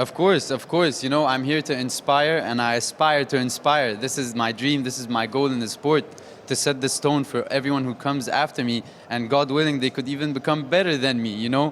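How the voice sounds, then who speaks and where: A man's medium-pitched voice, fairly quick and fairly even in intonation, over noticeable background noise. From Saudi Arabia. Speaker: professional boxer. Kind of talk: post-event interview.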